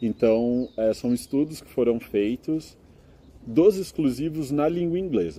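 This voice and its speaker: A man with a medium pitch talks at a fairly slow pace, his intonation lively. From Brazil, São Carlos (São Paulo state). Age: 20s. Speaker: master's student and English teacher. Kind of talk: interview. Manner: explanatory, with frequent filler hesitations.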